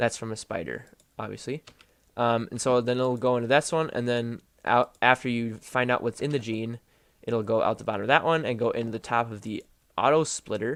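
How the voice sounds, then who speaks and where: At a fairly quick pace, a man speaks at a medium pitch with fairly even intonation, in a very clean recording with a silent background and a dry, close sound with no echo. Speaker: gaming video creator. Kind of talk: game commentary tutorial. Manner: casual, hesitant with fillers.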